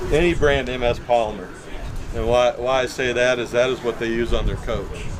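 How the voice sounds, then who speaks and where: A man with an American accent at a fairly quick pace, fairly even intonation, and noticeable background noise. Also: medium pitch for a man. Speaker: RV repair technician. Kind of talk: hands-on demonstration. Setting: outdoors at an RV rally. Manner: casual, conversational.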